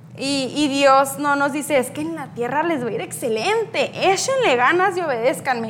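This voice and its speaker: A high-pitched woman's voice with lively intonation, a moderate pace and hardly any pauses, amid noticeable background noise and audible room echo. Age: 20s. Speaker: youth speaker. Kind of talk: sermon. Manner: hesitant with fillers.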